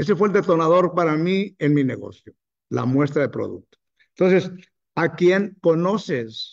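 Against a quiet background, a man speaks at a fairly slow pace in a high pitch, with ordinary pitch variation and big swings in loudness. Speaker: network marketing distributor; business trainer. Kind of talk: motivational talk. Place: hall. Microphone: webcam.

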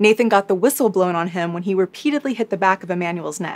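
The tone is serious, with ordinary pitch variation. The pace is very fast. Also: woman. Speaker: true crime YouTuber. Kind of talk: true-crime narration, scripted storytelling recap. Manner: measured, serious storyteller with light chatty asides. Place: home room.

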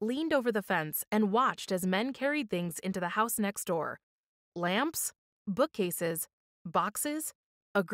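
Someone is reading aloud in a natural voice, with lively intonation. The background is quiet.

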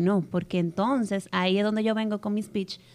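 Fairly even intonation, in a Dominican accent. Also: woman. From Dominican Republic. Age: 20s. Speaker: travel content creator and commercial coordinator in family business; travel content creator. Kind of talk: casual interview chat. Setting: studio with live audience. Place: studio. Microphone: studio mic.

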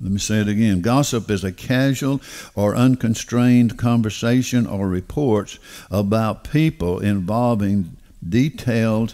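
Against a quiet background, a man in a Southern US accent speaks at a fairly slow pace with a dark, mellow tone and ordinary pitch variation. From US South. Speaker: pastor. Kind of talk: sermon. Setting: church. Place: church. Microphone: headset.

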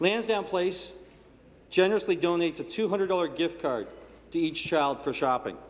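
This man has a high-pitched voice. He talks at a moderate pace with ordinary pitch variation. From Canada. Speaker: provincial legislator. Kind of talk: parliamentary statement. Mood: warm, appreciative. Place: hall. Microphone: podium.

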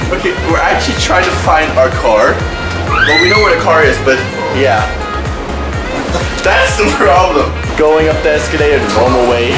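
Loud music plays in the background as a man speaks with long, frequent pauses. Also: moderate pace. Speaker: vlogger. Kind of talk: casual vlog chat. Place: boat. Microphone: phone near.

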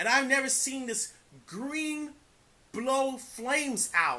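A man uses a raised, projected voice with a bright, sharp tone at a very slow pace. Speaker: amateur video reviewer. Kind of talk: casual review, plot retelling. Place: home room.

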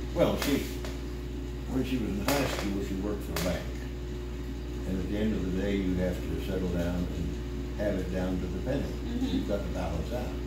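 A man with an American accent at a moderate pace, loud background noise and audible room echo behind him. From Missouri, USA. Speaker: country music singer. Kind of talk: interview answer.

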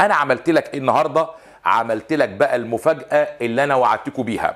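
The speaker is a man. Little sound comes from behind him, leaving a quiet background. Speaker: French teacher. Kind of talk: lecture. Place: studio.

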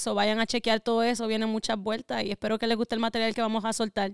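A woman with a Puerto Rican accent and monotone, flat intonation, in a dry sound with no echo against a quiet background. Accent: sounds Puerto Rican. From US Northeast (Connecticut), Ecuadorian family. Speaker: rapper; podcast guest. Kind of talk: interview. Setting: studio. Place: home room. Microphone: studio mic.

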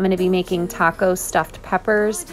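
Over faint music in the background, a woman talks at a very fast pace in a monotone, flat intonation. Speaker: home cook vlogger. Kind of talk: tutorial voice-over.

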